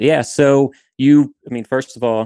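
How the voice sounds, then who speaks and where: A man's dark, mellow tone, with a dry, close sound and no echo. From southern Louisiana. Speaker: intelligence analyst. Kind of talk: casual interview chat.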